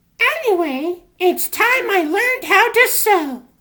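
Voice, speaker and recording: A man puts on a cartoonish character voice. It is squeaky and extremely high in pitch. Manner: theatrical, grand.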